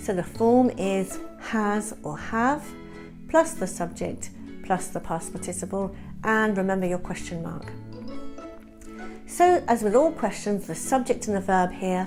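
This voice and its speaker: With music in the background, a woman with a British accent talks at a fairly slow pace, at a medium pitch and with lively intonation. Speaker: English teacher. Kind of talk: grammar tutorial to camera.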